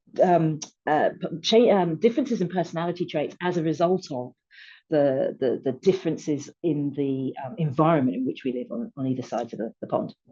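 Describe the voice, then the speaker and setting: Against a quiet background, a woman with a British accent speaks at a fairly quick pace, her fairly low, dark, mellow voice moving with lively intonation. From UK. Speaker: retail technology publisher. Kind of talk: panel discussion. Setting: video webinar.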